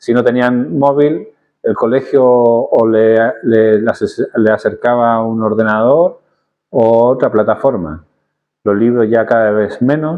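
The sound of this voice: Here a man talks at a fairly slow pace. His medium-pitched voice shows ordinary pitch variation.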